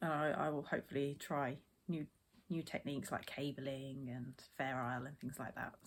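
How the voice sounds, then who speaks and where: A woman with a British accent talks at a medium speed. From England, Essex. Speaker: knitting podcaster. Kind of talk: casual podcast chat. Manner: hesitant, filler-heavy.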